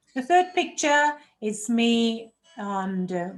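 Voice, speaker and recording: A woman speaks in a German accent with a high pitch. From Germany. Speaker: health coach. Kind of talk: online workshop presentation.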